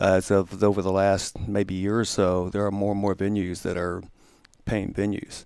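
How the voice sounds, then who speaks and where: The speech moves at a moderate pace in a flat monotone. The recording is very clean, with a silent background. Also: man, fairly low pitch for a man. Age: 60s. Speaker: musician. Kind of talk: interview. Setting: studio. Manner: halting.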